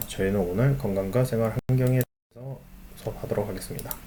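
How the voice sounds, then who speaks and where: There's audible room echo around a man whose intonation stays fairly even. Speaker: school teacher. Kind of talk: online lecture.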